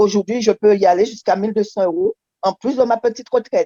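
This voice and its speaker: At a moderate pace, a woman speaks in a dark, mellow tone with fairly even intonation. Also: dry, close sound with no echo. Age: 60s. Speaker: retiree and wellness coach. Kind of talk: testimony.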